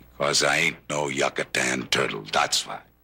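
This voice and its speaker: A raspy, put-on character voice carries the clip. Its pace is moderate. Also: man, very deep, low pitch for a man. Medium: short film. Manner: halting, broken English.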